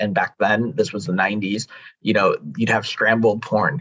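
At a moderate pace, a man with an American accent talks in a bright, sharp tone with ordinary pitch variation. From Chicago area, US Midwest. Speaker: men's coach and consultant. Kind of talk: personal testimony in interview.

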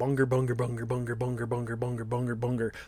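A man's put-on character voice, medium in pitch, at a very fast pace. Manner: repetitive, emotive name calling.

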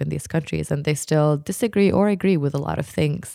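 She speaks with an Arabic accent. The woman keeps a moderate pace. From Jordan. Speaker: podcast guest. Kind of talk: casual discussion. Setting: studio.

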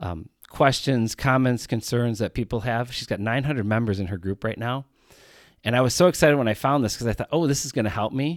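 In an ordinary speaking voice of medium pitch with ordinary pitch variation, a man is heard in a dry, close sound with no echo on a very clean recording with a silent background. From US Midwest, rural Wisconsin. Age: 40s. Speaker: podcast host, student teacher. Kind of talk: solo podcast monologue.

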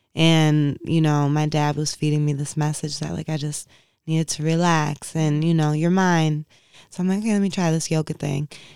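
A woman's very deep, low voice with a dark, mellow tone and an American accent, flat and monotone at a moderate pace, on a very clean recording with a silent background. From Inkster, Michigan (Detroit area). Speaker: yoga and mindfulness practitioner. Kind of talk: casual interview.

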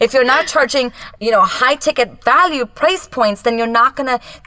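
A woman's high, bright and sharp voice at a moderate pace, with ordinary pitch variation and a dry, close sound free of echo. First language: Japanese. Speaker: business coach. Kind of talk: casual chat. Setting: home closet recording.

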